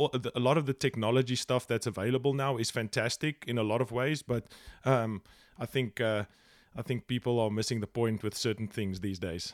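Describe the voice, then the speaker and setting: A man with a South African accent, medium pitch and a fairly quick pace, in a very clean, dry, close recording with no echo and a silent background. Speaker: fishing guide and filmmaker. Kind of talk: casual interview chat. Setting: podcast interview. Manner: animated, excitable.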